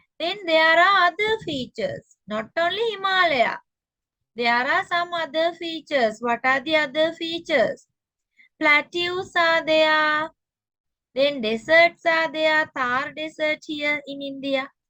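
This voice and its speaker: In a Sri Lankan accent, a woman projects a raised voice at an extremely high pitch, bright and sharp in tone, speaking fairly slowly with ordinary pitch variation. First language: Sinhala. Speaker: teacher. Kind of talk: lecture.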